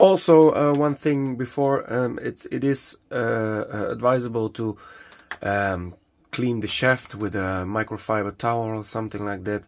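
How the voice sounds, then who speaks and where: At a fairly slow pace, a man with a Dutch accent speaks in a medium pitch with ordinary pitch variation. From Netherlands. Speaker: hobbyist product maker. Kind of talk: tutorial. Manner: halting, many fillers.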